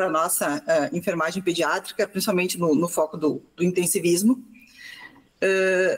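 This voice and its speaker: Speaking at a moderate pace, a woman keeps a very even loudness, with a medium pitch and ordinary pitch variation. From Rio Grande do Sul, southern Brazil. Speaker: pediatric intensive care nurse. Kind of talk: podcast interview. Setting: online call.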